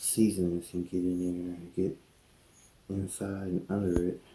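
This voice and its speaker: A soft-spoken man with a very deep, low pitch and a dark, mellow, somewhat breathy tone. He talks at a fairly slow pace in a monotone, flat intonation. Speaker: cooking youtuber. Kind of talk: cooking tutorial. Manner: casual.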